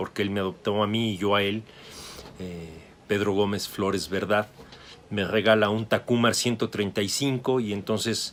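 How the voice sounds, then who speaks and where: A man speaks fairly slowly at a fairly low pitch. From Mexico City. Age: 60s. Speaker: photographer and photography teacher. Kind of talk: interview.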